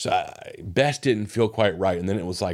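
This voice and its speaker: In a very clean recording with a silent background, a man with a Southern US accent speaks at a moderate pace, his fairly low pitch showing ordinary variation. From US South. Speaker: podcast host. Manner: casual, conversational, filler-heavy.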